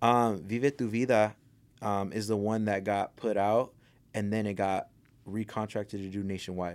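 In an American accent, a man with a fairly low pitch talks at a moderate pace, his intonation monotone and flat. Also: very clean recording, silent background. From Los Angeles area, California (Pico Rivera). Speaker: rapper and singer. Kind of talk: casual interview chat.

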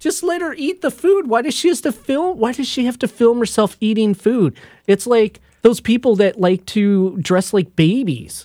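A moderate pace in a very clean recording over a silent background. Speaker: podcast host. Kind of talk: casual banter, comedic chat. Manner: animated, argumentative, joking; uses a put-on radio voice.

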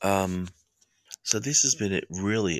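Someone with an Australian accent talks at a fairly slow pace in a calm, relaxed tone, with a dry, close sound and no echo. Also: man. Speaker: counselor and podcast host. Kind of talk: live podcast with guided meditation. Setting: home studio, live stream. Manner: calm, relaxed, soothing.

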